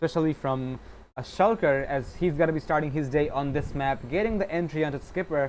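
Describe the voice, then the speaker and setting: Someone mumbles at a fairly quick pace on a very clean recording with a silent background. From Bangladesh. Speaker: esports caster. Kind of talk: live commentary. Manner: mumbling; fast.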